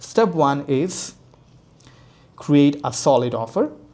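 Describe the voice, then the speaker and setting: A man speaks at a very slow pace with a non-native accent. His tone is dark and mellow, and his pitch varies normally. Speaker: business coach. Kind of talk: tutorial. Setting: home, screen share. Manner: soft-spoken; halting, with fillers.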